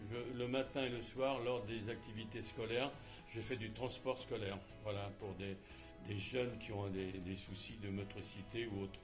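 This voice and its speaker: With music in the background, a man speaks at a fairly slow pace, fairly low pitch and fairly even intonation. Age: 70s. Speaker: charity volunteer. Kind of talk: interview answer. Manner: hesitant, many filler sounds.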